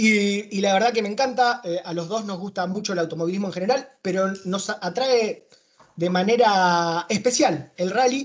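Here a man talks at a high pitch with ordinary pitch variation. His pace is moderate. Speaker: podcast host. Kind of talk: interview.

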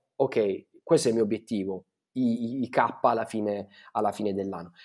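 A man speaks in a dark, mellow tone. The recording is very clean, with a silent background. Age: 30s. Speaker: brand designer. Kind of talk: interview. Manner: halting, many fillers.

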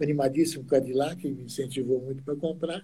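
This man has a fairly high pitch, a dark, mellow tone, a somewhat breathy quality and fairly even intonation. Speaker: classic car club official. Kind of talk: casual interview.

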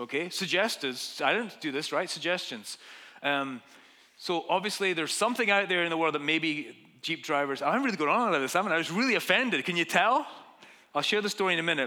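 With a Scottish accent, a man talks at a fairly quick pace in a high pitch with lively intonation. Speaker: pastor. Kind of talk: sermon. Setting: church.

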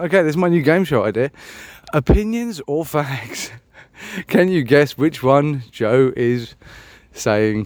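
At a very slow pace, a man with a British accent talks at a fairly high pitch with lively intonation. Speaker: podcaster. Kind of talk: casual chat.

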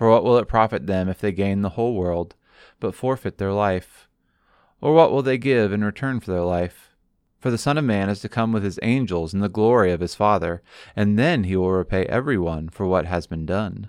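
Against a quiet background, a man with a normal speaking voice talks at a fairly low pitch and a moderate pace, with ordinary pitch variation. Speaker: pastor. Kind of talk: sermon excerpt, guided prayer; fervent prayer, earnest and devotional. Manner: warm, pastoral.

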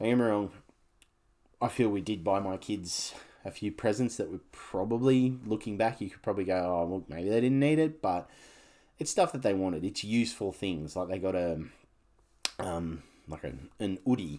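Long, frequent pauses break up a man's dark, mellow tone, fairly low in pitch with lively intonation and an Australian accent, on a very clean recording with a silent background. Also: moderate pace. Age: 40s. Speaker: podcast host. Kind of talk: casual solo monologue.

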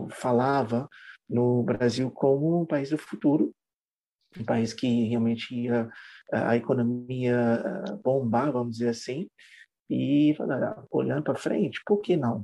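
Fairly slow speech from a man at medium pitch, dark and mellow in tone, with long, frequent pauses. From Trinidad and Tobago. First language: English (speaking Portuguese). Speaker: English teacher. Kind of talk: interview.

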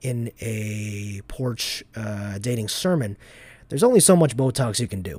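This man's voice has a dark, mellow tone and is somewhat breathy. His pitch stays medium. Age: 20s. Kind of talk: reading aloud. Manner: halting.

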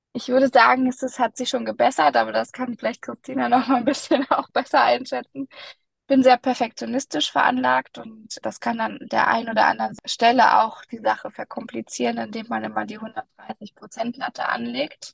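The woman's loudness swings widely as she talks at a moderate pace. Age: 30s. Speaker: podcast host, organizational development coach. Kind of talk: casual chat.

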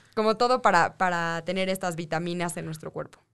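An unremarkable speaking voice belongs to a woman at a medium pitch. She goes at a fairly quick pace with fairly even intonation. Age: 20s. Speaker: nutritionist. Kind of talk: radio interview.

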